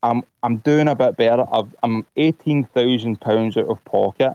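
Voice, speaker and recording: This man has a Glasgow accent, a medium pitch and fairly even intonation, and he speaks at a moderate pace. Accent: Glasgow Scottish. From Scotland. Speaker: caller, vaccine-injured patient. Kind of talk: personal testimony on a call-in show.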